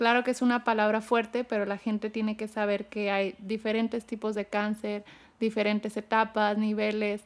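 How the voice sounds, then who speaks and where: On a very clean recording with a silent background, a woman speaks at a fairly high pitch with monotone, flat intonation. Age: 30s. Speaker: cancer survivor. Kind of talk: testimony.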